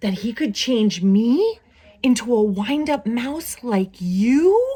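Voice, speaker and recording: A female-sounding, put-on character voice pitched fairly high. It goes at a very slow pace. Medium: read story.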